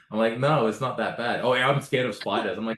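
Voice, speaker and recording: A very fast man with an Australian accent, medium in pitch. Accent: Australian, noticed by others. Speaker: podcast host. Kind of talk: casual chat. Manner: hesitant, many fillers and repeats.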